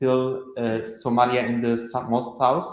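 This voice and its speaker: The room's echo is audible as a man talks. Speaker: medical epidemiologist, conference speaker. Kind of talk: conference presentation. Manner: loud.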